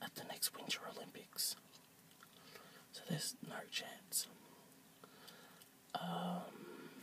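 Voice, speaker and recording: Mumbled whispering at a very slow pace, full of long, frequent pauses, over noticeable background noise. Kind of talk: ASMR talk to camera. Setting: outdoors. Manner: soft-spoken, mumbled.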